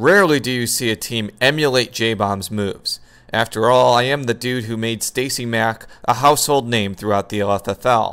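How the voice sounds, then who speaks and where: This is an unremarkable speaking voice at a moderate pace. Pitch varies in an ordinary way, with hardly any pauses. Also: man, medium pitch for a man. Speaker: fantasy football league commissioner-style predictor. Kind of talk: scripted narration.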